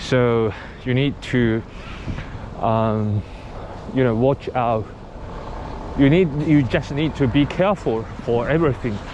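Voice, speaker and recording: A man's medium-pitched voice in a Japanese accent, fairly slow with long, frequent pauses and ordinary pitch variation, over noticeable background noise. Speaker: cycling vlogger. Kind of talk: vlog narration while riding. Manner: halting.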